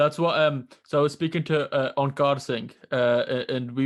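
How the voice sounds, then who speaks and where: Against a quiet background, a man with a Geordie accent speaks at a moderate pace and fairly high pitch, his intonation monotone and flat. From northern England, Newcastle. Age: 20s. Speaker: podcast host. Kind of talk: casual interview.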